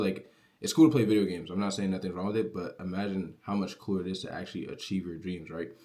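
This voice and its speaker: On a very clean recording with a silent background, a man speaks in a very deep, low pitch with a dark, mellow tone and fairly even intonation. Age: young. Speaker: online business creator. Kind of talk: casual motivational vlog. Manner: casual, filler-heavy.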